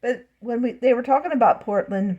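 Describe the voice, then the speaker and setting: A woman's somewhat breathy American accent with a dark, mellow tone, lively intonation and a moderate pace. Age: 60s. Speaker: vlogger. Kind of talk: casual monologue vlog. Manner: rambling, halting.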